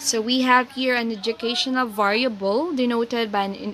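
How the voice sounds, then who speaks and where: A woman speaks with a Filipino accent and a fairly high pitch. Her intonation is fairly even, and there is noticeable background noise. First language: Tagalog. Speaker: teacher. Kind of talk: lecture. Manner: code-switching Tagalog and English.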